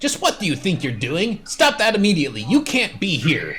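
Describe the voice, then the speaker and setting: In a put-on character voice, a man speaks at a fairly quick pace with a high pitch and very wide pitch swings, over light background noise. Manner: scolding.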